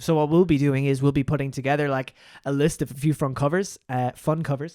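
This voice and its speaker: Speaking with an Irish accent, a man with a fairly high pitch and a dark, mellow tone talks at a fairly quick pace in a monotone, flat intonation, with a dry, close sound with no echo on a very clean recording with a silent background. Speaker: musician and gaming podcast co-host. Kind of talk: casual chat. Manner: loud.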